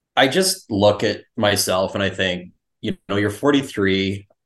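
With a Canadian accent and a normal speaking voice, a man talks at a moderate pace in a fairly low pitch with ordinary pitch variation. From Canadian Prairies (Winnipeg). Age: 40s. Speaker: former coaching client. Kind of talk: casual interview chat.

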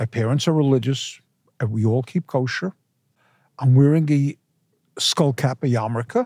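A man talks at a medium pitch and a moderate pace, with ordinary pitch variation, very even loudness, and long, frequent pauses. His tone is dark, mellow and somewhat breathy, in a dry, close recording with no echo, very clean, with a silent background. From New York City. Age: 70s. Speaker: deli owner, former lawyer. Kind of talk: interview. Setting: museum gallery.

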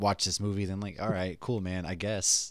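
A normal speaking voice with an American accent at a fairly quick pace, on a very clean recording with a silent background. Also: man. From Massachusetts. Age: 30s. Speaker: podcast host, comic book reviewer. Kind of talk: casual chat.

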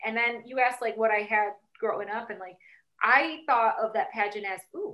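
Speaking at a moderate pace, a woman with an unremarkable speaking voice keeps a fairly high pitch. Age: 30s. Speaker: sex and family therapist, author. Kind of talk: casual interview.

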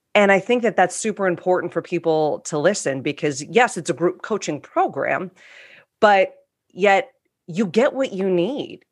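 A woman with a plain, everyday voice, medium pitch and lively intonation. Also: moderate pace, very clean recording, silent background. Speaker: coach. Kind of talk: group discussion.

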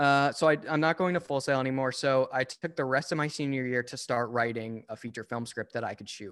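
Heard on a very clean recording with a silent background, a man with a plain, everyday voice speaks at medium pitch and a fairly quick pace, with hardly any pauses and ordinary pitch variation. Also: big swings in loudness. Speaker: filmmaker and screenwriter. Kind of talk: casual chat. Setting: at home, rain outside.

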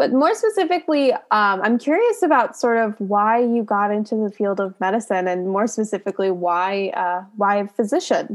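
A woman talks in a normal speaking voice at a fairly high pitch, with lively intonation. Her pace is moderate and she hardly pauses. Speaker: podcast host, pre-PA student. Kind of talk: casual interview.

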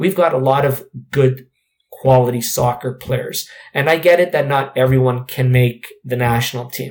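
A somewhat breathy man with a Canadian accent speaks with fairly even intonation. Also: medium pitch for a man, moderate pace. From Canada. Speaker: former professional soccer player. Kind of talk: interview. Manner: halting, many fillers.

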